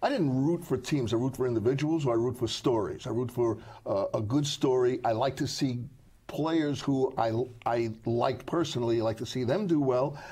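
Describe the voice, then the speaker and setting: With an American accent, a man speaks at a moderate pace and a medium pitch, showing ordinary pitch variation. His tone is dark, mellow and somewhat breathy, over a quiet background. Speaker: sportswriter. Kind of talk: casual chat.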